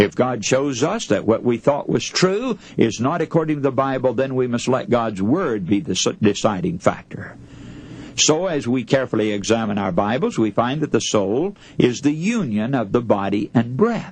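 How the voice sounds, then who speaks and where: In an unremarkable speaking voice, a man talks at a moderate pace with a medium pitch and lively intonation. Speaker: radio preacher / sermon speaker. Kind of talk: radio sermon.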